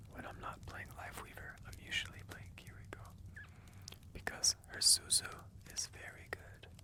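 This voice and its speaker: Whispering at a moderate pace comes through noticeable background noise. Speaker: gamer. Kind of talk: ASMR gaming commentary. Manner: whispered.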